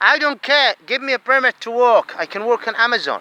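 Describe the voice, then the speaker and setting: In a Saudi accent, a man uses a raised, projected voice of extremely high pitch and bright, sharp tone, keeping a moderate pace and fairly even intonation. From Saudi Arabia. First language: Arabic. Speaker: asylum seeker vlogger. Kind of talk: angry monologue. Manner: halting, repetitive.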